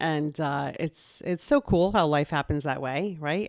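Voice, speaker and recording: A woman speaks in a very deep, low voice, recorded very cleanly against a silent background with a dry, close sound and no echo. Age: 50s. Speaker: podcast host. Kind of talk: casual chat.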